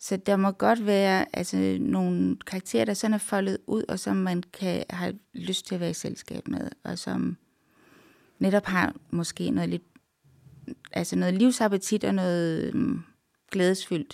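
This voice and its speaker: Heard in a dry, close sound with no echo, a woman speaks at a fairly slow pace. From Denmark, Randers (East Jutland). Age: 40s. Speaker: literary translator. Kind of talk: interview.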